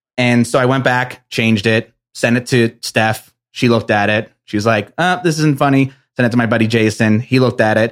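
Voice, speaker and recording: An ordinary speaking voice from a man with an American accent, medium pitch, fairly even intonation, moderate pace and very even loudness. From New Jersey. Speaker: entrepreneur. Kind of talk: casual chat.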